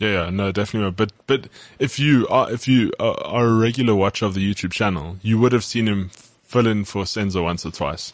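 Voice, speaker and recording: A man talks at a fairly quick pace with hardly any pauses, in a normal speaking voice. His pitch is fairly low, with ordinary pitch variation. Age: 20s. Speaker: sports podcast co-host. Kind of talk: casual chat.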